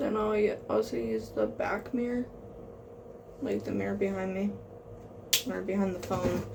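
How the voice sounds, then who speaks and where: Soft-spoken and moderate in pace, a woman talks with long, frequent pauses amid audible room echo and noticeable background noise. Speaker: makeup vlogger. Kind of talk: makeup tutorial.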